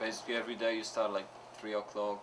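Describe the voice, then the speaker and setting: A man's medium-pitched, monotone, flat delivery, with audible room echo and noticeable background noise. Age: 20s. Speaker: pedicab driver. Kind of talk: interview.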